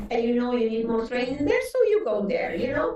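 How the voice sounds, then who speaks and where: A woman's high voice with very wide pitch swings, against noticeable background noise. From Lebanon and Venezuela. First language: Arabic. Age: 60s. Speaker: psychotherapist and coach. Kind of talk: interview. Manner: animated; halting.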